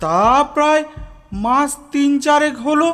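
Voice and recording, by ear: Putting on a character voice at extremely high pitch with a fairly bright tone, a man speaks slowly with ordinary pitch variation over faint background music.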